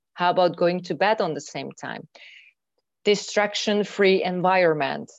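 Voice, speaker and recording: This woman has a Hungarian accent and a fairly low pitch, with ordinary pitch variation. She talks at a moderate pace against a quiet background. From Hungary. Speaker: mindfulness trainer and coach. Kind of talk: interview. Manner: halting.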